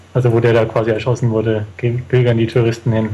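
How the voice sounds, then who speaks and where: A man speaks at a moderate pace with a medium pitch and a dark, mellow tone. His delivery is somewhat breathy, with monotone, flat intonation. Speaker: traveller. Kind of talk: interview.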